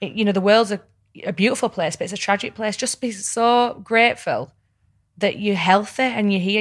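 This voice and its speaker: Speaking with a Yorkshire accent, a woman uses a medium pitch, ordinary pitch variation and a moderate pace on a very clean recording with a silent background. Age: 30s. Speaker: reality TV personality and podcaster. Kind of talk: casual chat.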